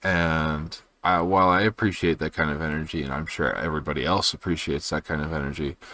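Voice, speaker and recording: Very fast and with hardly any pauses, a man talks quietly in a very deep, low pitch with vocal fry and a bright, sharp tone, on a very clean recording with a silent background. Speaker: video journal creator. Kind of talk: personal video journal. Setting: at home at night. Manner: quiet, low energy; hesitant, many fillers.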